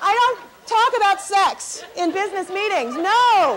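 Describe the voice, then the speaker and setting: A woman's upbeat tone over crowd noise in the background. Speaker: motivational speaker. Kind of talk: keynote speech to live audience. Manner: high-energy, upbeat.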